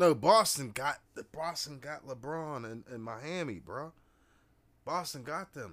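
An unremarkable speaking voice from a man, fairly high in pitch, comes at a fairly slow pace with lively intonation and big swings in loudness, in a very clean recording with a silent background. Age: 30s. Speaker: podcast host. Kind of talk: casual chat.

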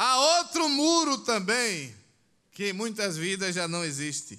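Projecting his raised voice at a very slow pace, a man with a high pitch swings his pitch very widely amid audible room echo. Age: 60s. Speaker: pastor. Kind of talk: sermon. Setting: church.

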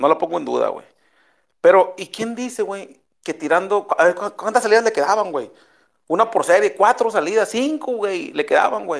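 A man talks at a moderate pace in a high-pitched voice. His tone is animated, with lively intonation. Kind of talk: casual chat. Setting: live audio room online.

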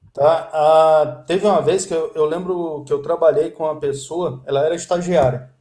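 Fairly high in pitch, a man keeps a moderate pace with fairly even intonation. He leaves hardly any pauses. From Brasília, Brazil. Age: 50s. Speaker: Java developer. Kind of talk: interview.

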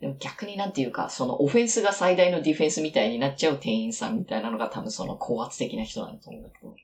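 The speaker races along at a very fast pace with hardly any pauses. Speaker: English-learning conversation partner. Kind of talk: casual chat.

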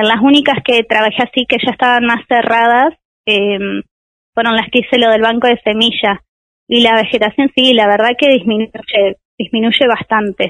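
A woman with a plain, everyday voice, fairly high in pitch, at a moderate pace with fairly even intonation and very even loudness. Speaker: biology doctoral student. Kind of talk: radio interview.

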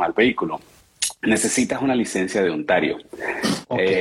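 Over noticeable background noise, a man talks fairly quickly at a medium pitch. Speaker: car salesman. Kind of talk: casual chat. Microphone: far from the mic.

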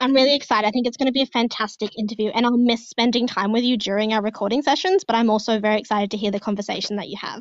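A woman with an Australian accent, fairly high in pitch with ordinary pitch variation, talking at a very fast pace with hardly any pauses. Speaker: podcast co-host. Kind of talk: casual chat. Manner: animated.

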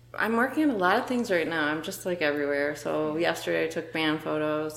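This woman's pitch is very deep and low. She talks at a fairly quick pace. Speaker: photographer. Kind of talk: casual chat.

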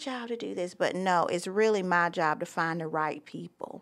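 The pace is moderate. The intonation is lively. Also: woman. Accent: Southern US. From US South, Myrtle Beach, South Carolina. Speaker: school principal. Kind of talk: interview.

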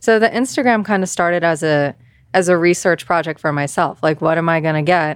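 A woman at a fairly low pitch with ordinary pitch variation and a fairly quick pace, on a very clean recording with a silent background. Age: 30s. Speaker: watch influencer. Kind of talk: interview.

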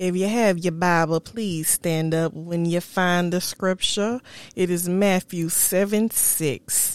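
A woman talks at a very slow pace with fairly even intonation and very even loudness. The recording is very clean, with a silent background. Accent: American. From South Carolina, Florence. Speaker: podcast host. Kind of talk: solo monologue, motivational talk. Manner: casual, laughing.

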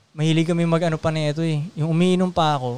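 A man is talking. His voice is fairly high in pitch. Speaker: podcast host. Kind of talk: casual chat. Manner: animated.

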